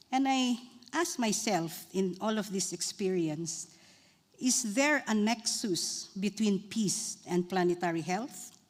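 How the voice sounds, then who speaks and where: At a very slow pace, a woman with a somewhat breathy, medium-pitched voice speaks with lively intonation and very even loudness. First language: Bontoc. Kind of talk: conference talk.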